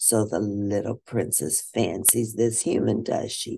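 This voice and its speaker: Using a raspy, put-on character voice, a man speaks at medium pitch. He goes at a fairly slow pace against a quiet background. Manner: cackling, wicked.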